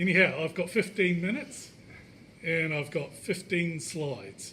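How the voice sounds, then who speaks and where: With noticeable background noise, a man with a New Zealand accent talks at a fairly slow pace in a high voice. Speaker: indie app developer. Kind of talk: tech meetup talk.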